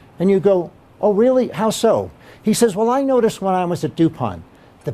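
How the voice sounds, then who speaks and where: A man talks loudly at a moderate pace. His dark, mellow voice moves through very wide pitch swings. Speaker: keynote speaker. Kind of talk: keynote talk. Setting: meeting room with audience. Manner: loud, projecting without mic; animated storytelling.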